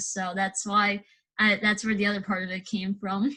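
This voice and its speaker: This woman has an American accent. Her tone is bright and sharp. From New York City (Brooklyn). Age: 20s. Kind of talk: casual interview. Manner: hesitant, many fillers.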